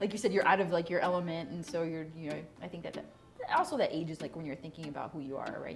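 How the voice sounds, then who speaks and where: This woman has a fairly low pitch, ordinary pitch variation and a Spanish accent. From Chicago South Side, US. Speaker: interviewee. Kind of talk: casual interview conversation.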